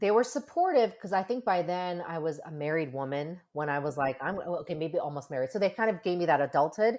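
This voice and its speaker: Talking at a very fast pace with hardly any pauses, a woman with a fairly low pitch uses lively intonation. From US, Korean-American. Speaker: therapist. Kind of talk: interview. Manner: animated.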